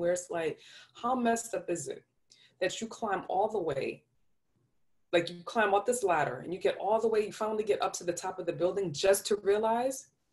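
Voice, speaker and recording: A woman at medium pitch with a New York accent, fairly quick pace and ordinary pitch variation. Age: 30s. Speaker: podcast host. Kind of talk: casual, slangy.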